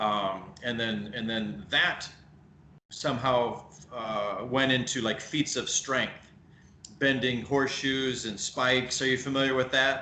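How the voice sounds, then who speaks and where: A man with a Midwestern American accent speaks at a fairly slow pace and medium pitch. His intonation is fairly even, with audible room echo and noticeable background noise. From US Midwest. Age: 40s. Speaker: strength equipment maker. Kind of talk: podcast interview.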